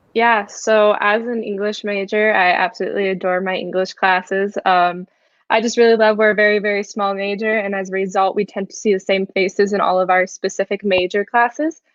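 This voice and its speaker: A woman at a medium pitch, fairly quick, with hardly any pauses and flat, monotone intonation. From Texas (Frisco). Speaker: university student. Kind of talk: panel discussion.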